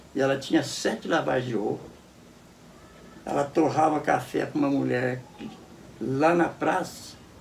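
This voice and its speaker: Noticeable background noise and audible room echo surround a man who speaks fairly slowly at a fairly high pitch, with ordinary pitch variation and long, frequent pauses. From Brazil, Cachoeira Paulista (São Paulo state). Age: 80s+. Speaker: elderly local resident interviewee. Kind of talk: interview, life story. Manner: halting, many repetitions.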